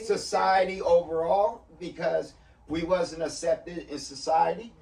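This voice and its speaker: Speaking fairly slowly, a man is heard over noticeable background noise. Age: old. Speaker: former gang leader. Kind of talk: interview answer.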